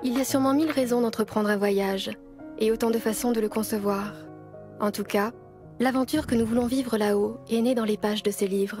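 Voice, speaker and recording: Music plays in the background as a woman talks at a fairly quick pace and a fairly high pitch. Her pitch varies in an ordinary way, and her loudness stays very even. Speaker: voice actor. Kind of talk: corporate and documentary narration.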